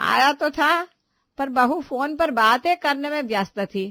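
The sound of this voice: Putting on a character voice, a woman speaks at a fairly slow pace with a high pitch and lively intonation. Her tone is bright and sharp, and the sound is dry and close with no echo.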